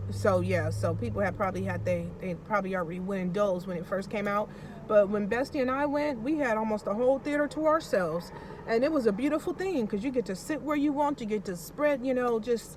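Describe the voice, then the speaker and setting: Noticeable background noise sits behind a woman speaking very fast at a fairly high pitch. Her tone is animated and her intonation lively. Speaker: vlogger. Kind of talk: casual vlog chat.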